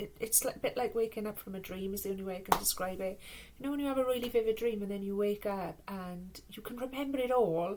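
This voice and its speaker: A woman talks at a very fast pace in a Welsh accent. Her medium pitch shows ordinary variation, and there is noticeable background noise. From Wales. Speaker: tarot and oracle card reader. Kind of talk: spiritual card reading.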